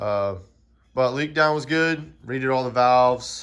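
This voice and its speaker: A man with a Southern US accent, heard with audible room echo. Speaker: amateur race car driver and YouTuber. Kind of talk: casual garage vlog. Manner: monotone.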